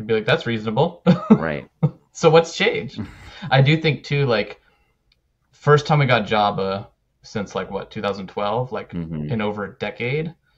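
Against a quiet background, a man speaks at a moderate pace with very wide pitch swings and big swings in loudness. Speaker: podcast co-host. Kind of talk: casual podcast discussion. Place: home room. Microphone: studio mic.

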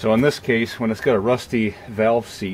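A man talks with fairly low pitch and fairly even intonation. Light background noise can be heard. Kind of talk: tutorial. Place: street.

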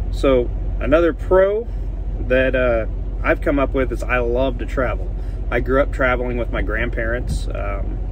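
Noticeable background noise sits behind a dry sound with no echo. A man speaks at a moderate pace. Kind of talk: casual vlog chat. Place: car. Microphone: phone near.

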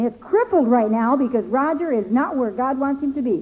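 A woman speaks at a moderate pace in a high pitch. Her intonation is lively. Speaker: church member; preacher. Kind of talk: testimony. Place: church. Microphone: old recording.

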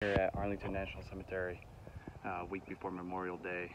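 Noticeable background noise runs under the dry, echo-free sound. A man talks fairly quickly. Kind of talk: casual vlog chat. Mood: respectful, reflective. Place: open country. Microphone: phone near.

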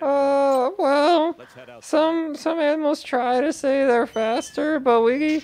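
A man's put-on character voice, extremely high-pitched and very slow, over a quiet background. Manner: boastful, sly.

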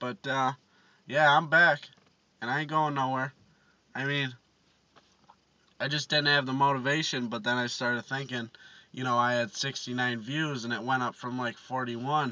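A man at a moderate pace, monotone and flat, with long, frequent pauses and dry sound without echo. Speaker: vlogger. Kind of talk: casual vlog chat.

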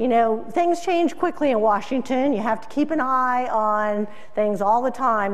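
The woman talks at a moderate pace. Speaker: keynote speaker, agricultural news publisher. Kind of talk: keynote speech. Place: hall.

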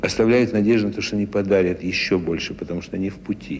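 Very fast speech from a man with a fairly low voice, over light background noise. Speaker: interviewee. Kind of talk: interview answer. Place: hall. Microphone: handheld.

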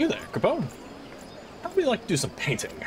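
Putting on a character voice, a man speaks very fast at an extremely high pitch over clear background noise. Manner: cute, playful.

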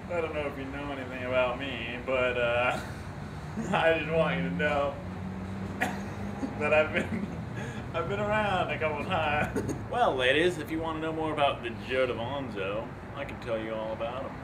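A man at a moderate pace, with long, frequent pauses, over noticeable background noise. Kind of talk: joking banter to camera. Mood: playful, laughing, goofing around. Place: street. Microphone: camera far.

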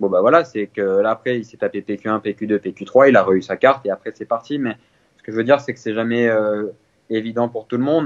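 A man with an unremarkable speaking voice talks at a medium pitch, his intonation fairly even. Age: 20s. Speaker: professional golfer. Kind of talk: interview.

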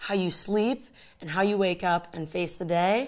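A woman with an American accent, a plain, everyday voice, medium pitch and fairly even intonation, over a quiet background. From US Midwest, Chicago. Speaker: actor. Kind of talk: casual vlog talk. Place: home room.

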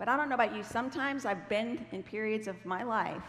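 A woman speaks at a very fast pace with ordinary pitch variation. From Ohio, US Midwest. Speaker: Bible teacher. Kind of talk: sermon. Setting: church stage with audience. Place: stage.

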